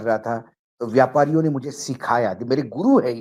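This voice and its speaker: With a Marathi accent, a man talks at a fairly high pitch using lively intonation. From Maharashtra, India. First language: Marathi (speaking Hindi). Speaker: political journalist. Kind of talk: political talk show discussion.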